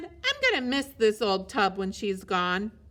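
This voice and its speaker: Using a put-on character voice, a woman speaks at a fairly high pitch. Her pace is moderate. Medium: read story.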